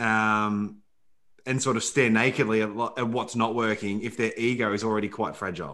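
In a medium pitch and a bright, sharp tone, a man speaks at a moderate pace with fairly even intonation. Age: 30s. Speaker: podcast host. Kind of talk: podcast interview.

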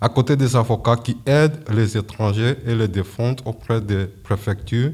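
A man speaks at a fairly slow pace in a dark, mellow tone, his medium-pitched voice somewhat breathy with ordinary pitch variation, on a very clean recording with a silent background. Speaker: amateur radio host, French learner. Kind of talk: scripted radio presenting. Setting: stage with audience.

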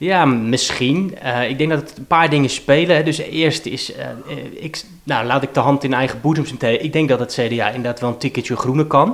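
A fairly high-pitched man at a moderate pace, with ordinary pitch variation. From Rotterdam-Zuid, Netherlands. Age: 30s. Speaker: politician. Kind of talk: interview. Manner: halting.

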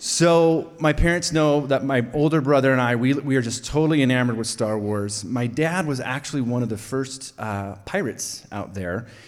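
With an American accent, a man speaks at a medium pitch with ordinary pitch variation, and audible room echo surrounds his voice. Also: moderate pace. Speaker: storyteller. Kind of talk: live storytelling. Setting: stage with audience.

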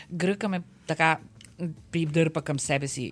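A woman is speaking. Her pitch is fairly low. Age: 60s. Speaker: interpreter and translator. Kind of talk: interview. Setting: studio. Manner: halting, many fillers.

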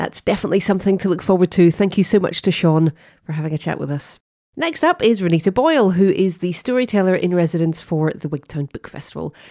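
The speaker talks at a very fast pace in a dark, mellow tone with ordinary pitch variation. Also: woman, medium pitch for a woman. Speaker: podcast host. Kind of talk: interview intro and chat.

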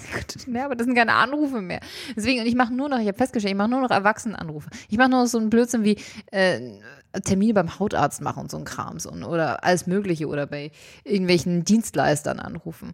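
Lively intonation marks a woman's very fast speech. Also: medium pitch for a woman. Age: 30s. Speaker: podcast co-host. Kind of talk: casual chat.

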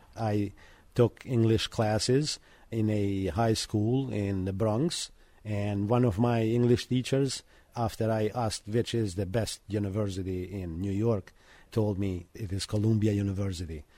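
In an Albanian accent, the speaker talks fairly slowly in a dark, mellow tone with fairly even intonation. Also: man, fairly low pitch for a man. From Montenegro. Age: 50s. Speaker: janitor and university student. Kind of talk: radio interview. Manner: halting.

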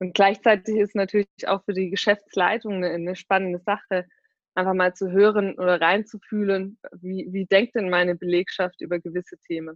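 In a flat monotone, a woman speaks at a medium pitch and a moderate pace. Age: 20s. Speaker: startup marketing executive. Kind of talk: interview. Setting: video call. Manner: frequent fillers (ähm, äh).

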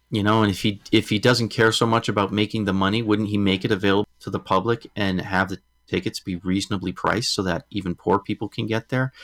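A man with an American accent talks very fast at a fairly low pitch, with hardly any pauses and fairly even intonation. The recording is very clean and dry, close with no echo and a silent background. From Massachusetts. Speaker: podcast host. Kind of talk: casual chat.

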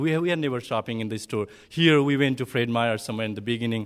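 Lively intonation marks this man's speech in a Nepali accent. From southern Bhutan, Nepali-speaking community. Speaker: refugee, ESL teacher. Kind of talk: personal testimony to an audience. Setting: speaking in front of a live audience. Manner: halting, hesitant non-native speech.

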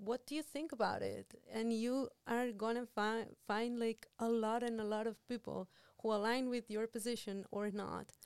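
In an ordinary speaking voice, a woman talks at a moderate pace with fairly even intonation, a fairly high pitch and hardly any pauses, the sound dry and close with no echo against a quiet background. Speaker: Spanish professor and translation specialist. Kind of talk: casual interview chat.

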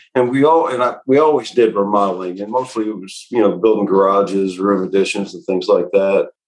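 With an ordinary speaking voice, a man with an American accent talks at a fairly quick pace with hardly any pauses, a fairly low pitch, ordinary pitch variation and big swings in loudness. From Indiana, Indianapolis. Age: 60s. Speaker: remodeling business owner. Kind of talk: interview.

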